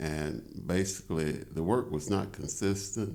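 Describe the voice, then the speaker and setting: Audible room echo surrounds a man speaking in a Tennessee accent. He talks at a fairly slow pace with ordinary pitch variation. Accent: Southern US (Tennessee). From US South, Chattanooga, Tennessee. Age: 70s. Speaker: appellate judge. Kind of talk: interview. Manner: halting, many filler words.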